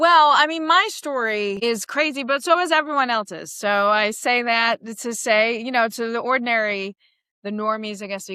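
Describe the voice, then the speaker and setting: A woman's animated, bright, sharp voice in a Queens accent, fairly high in pitch, with very wide pitch swings at a moderate pace. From New York City, Queens. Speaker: comedian. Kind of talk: podcast interview.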